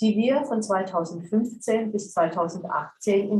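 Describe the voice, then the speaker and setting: Somewhat breathy and with lively intonation, a woman speaks at a fairly slow pace. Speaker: director of a documentation centre. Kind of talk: formal welcome speech.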